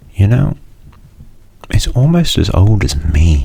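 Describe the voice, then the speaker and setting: Soft-spoken, a man lets his pitch swing very widely over noticeable background noise. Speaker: university student. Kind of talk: ASMR soft-spoken rambling.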